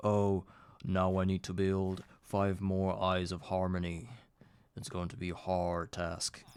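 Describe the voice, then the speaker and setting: A man's put-on character voice, very deep and low, on a very clean recording with a silent background. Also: fairly slow pace. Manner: epic, grand.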